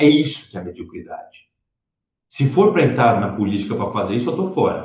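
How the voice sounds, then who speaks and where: Vocal fry marks a man's voice as he talks at a fairly quick pace. His pitch swings very widely. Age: 20s. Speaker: politician. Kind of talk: interview.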